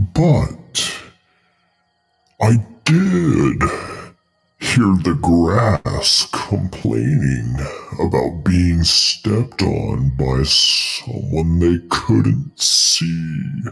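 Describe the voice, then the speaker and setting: A man's put-on character voice, growling and very deep, at a very slow pace with long, frequent pauses. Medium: actual play. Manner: easygoing, folksy, obliging.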